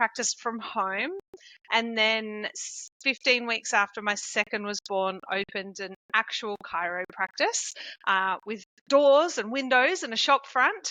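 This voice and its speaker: In an Australian accent, a woman talks fairly slowly with lively intonation and a fairly high pitch. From rural Victoria, Australia. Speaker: chiropractor. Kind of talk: podcast interview.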